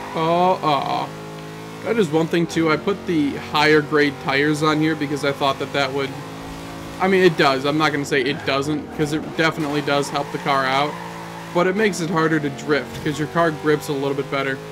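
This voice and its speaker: The intonation stays fairly even at a fairly quick pace. Noticeable background noise is present. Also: man, fairly high pitch for a man. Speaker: gaming youtuber. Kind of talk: gameplay commentary. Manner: casual.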